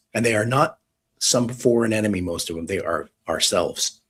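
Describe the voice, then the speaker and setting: A man with an American accent speaks at a fairly quick pace in a somewhat breathy voice, with ordinary pitch variation. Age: 50s. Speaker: retired police detective. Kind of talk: live online discussion. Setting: live audio space / stream.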